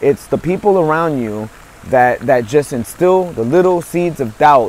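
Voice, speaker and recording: A man's fairly high voice with a New York accent, at a fairly slow pace, over noticeable background noise. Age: 50s. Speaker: motivational speaker and author. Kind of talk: motivational monologue. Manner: hesitant, many fillers and repetitions.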